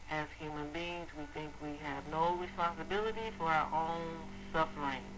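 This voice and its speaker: Noticeable background noise runs under the clip. The speech moves at a moderate pace. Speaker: spiritual radio show host. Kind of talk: spiritual monologue on a radio show.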